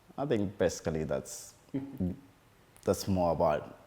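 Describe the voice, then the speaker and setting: With a Zimbabwean accent, a man speaks in a very deep, low voice. His tone is dark and mellow. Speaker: musician and community advocate. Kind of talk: interview. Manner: hesitant, with fillers.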